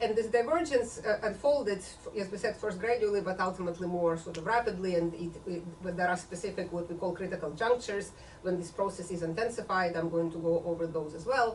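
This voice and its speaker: A woman's medium-pitched voice at a very fast pace with ordinary pitch variation, audible room echo and noticeable background noise. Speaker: author and political scientist. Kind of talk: book talk lecture.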